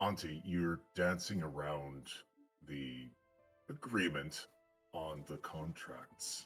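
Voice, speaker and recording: A man uses a put-on character voice at a very deep, low pitch, with faint music in the background. He speaks at a very slow pace with long, frequent pauses. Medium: actual play. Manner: calm, measured.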